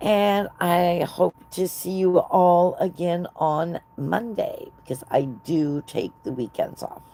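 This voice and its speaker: With an American accent, a woman speaks very slowly in a fairly low voice with ordinary pitch variation and hardly any pauses. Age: 60s. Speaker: knitting livestreamer. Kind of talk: casual chat. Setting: live stream.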